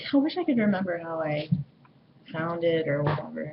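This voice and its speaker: Noticeable background noise accompanies a voice whose pitch swings very widely. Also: woman. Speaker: vlogger. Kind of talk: casual vlog monologue. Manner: halting, many fillers.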